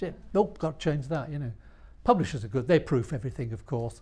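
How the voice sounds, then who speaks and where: A man talks at a very fast pace in a somewhat breathy voice with lively intonation. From northern England, Yorkshire (York). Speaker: author and illustrator. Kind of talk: interview at a live talk. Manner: halting, many restarts.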